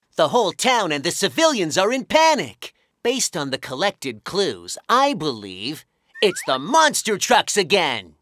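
On a very clean recording with a silent background, a cartoonish character voice at middle pitch swings very widely in pitch at a moderate pace. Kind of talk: children's cartoon acting. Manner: earnest, determined.

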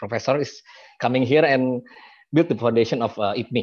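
Against a quiet background, a man talks at a moderate pace with ordinary pitch variation, the sound dry with no echo. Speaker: university recruitment head; presenter. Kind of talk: presentation. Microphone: video call.

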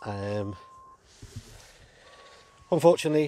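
Slow and lively in intonation, a man's voice sits at a medium pitch. The tone is dark and mellow.

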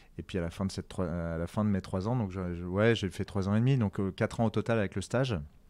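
On a very clean recording with a silent background, a man speaks very fast at a fairly low pitch with ordinary pitch variation. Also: hardly any pauses. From Paris, France. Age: 40s. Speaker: chef and restaurateur. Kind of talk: interview. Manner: halting, many fillers.

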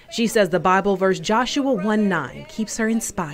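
A plain, everyday voice speaks at a moderate pace. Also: woman. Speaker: TV news anchor and reporter. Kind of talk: TV news package narration.

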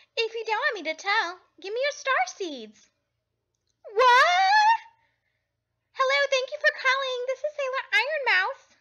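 Using a put-on character voice, a woman speaks at an extremely high pitch with lively intonation and long, frequent pauses. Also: fairly slow pace. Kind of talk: fandub audition. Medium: dub.

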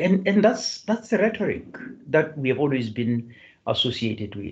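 Against a quiet background, a man speaks with a somewhat breathy voice at a fairly high pitch. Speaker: professor and seminar chair; professor. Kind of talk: hosting an online seminar. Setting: video call. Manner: halting. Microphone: video call.

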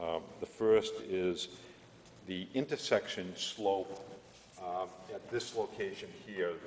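A man speaks at a very slow pace, with audible room echo and light background noise. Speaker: consultant presenting road proposal. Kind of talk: formal presentation to a board. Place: hall. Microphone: podium.

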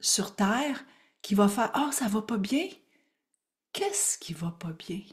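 Over a quiet background, a woman speaks with a Quebec accent in an animated tone. Her pace is fairly slow and her pitch swings very widely. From Quebec, Gaspésie. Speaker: spiritual coach and teacher; spiritual coach, teacher. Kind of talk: live online workshop. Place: home room. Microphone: webcam.

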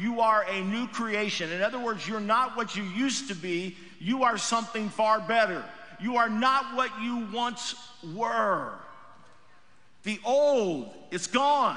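A man's raised, projected voice at a fairly slow pace with ordinary pitch variation. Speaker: pastor. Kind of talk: sermon. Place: church. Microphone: headset.

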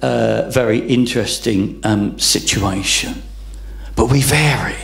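With faint music in the background, a man speaks at a very slow pace. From England. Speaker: pastor; preacher. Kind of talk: sermon. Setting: church. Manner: halting, many repeated words and fillers. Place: church. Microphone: handheld.

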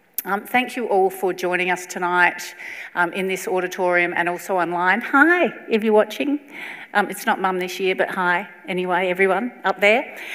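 In an Australian accent, a woman speaks with ordinary pitch variation. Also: moderate pace. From South Australia. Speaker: event MC, columnist and historian. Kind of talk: event hosting. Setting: stage with audience. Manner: lively. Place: hall. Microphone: lapel.

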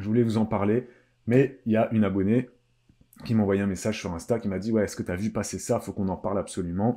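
In a quiet background, a man talks with a fairly low pitch and a dark, mellow tone. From Réunion. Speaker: live streamer. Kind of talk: live stream chat. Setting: live stream. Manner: casual, halting with many fillers. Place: empty room. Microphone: webcam.

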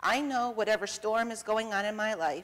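A woman with an American accent and a fairly high-pitched voice. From northeastern Ohio, US. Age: 40s. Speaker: church member giving communion meditation; speaker. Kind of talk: personal testimony; sermon. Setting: church. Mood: calm, reflective. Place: church.

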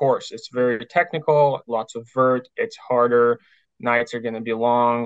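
Intonation stays fairly even throughout. The sound is dry with no echo, and the background is quiet. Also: man. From Ukraine. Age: 20s. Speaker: ultramarathon runner. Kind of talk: interview. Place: home room. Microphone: earbuds.

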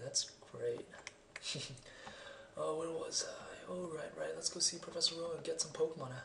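Noticeable background noise runs under speech at a moderate pace broken by long, frequent pauses. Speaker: gamer. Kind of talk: video game let's play commentary. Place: home room.

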